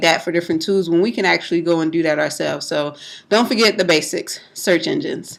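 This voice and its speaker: Her voice is loud, and this woman has a bright, sharp tone. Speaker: network marketing vlogger. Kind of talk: casual tutorial. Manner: hesitant, many fillers.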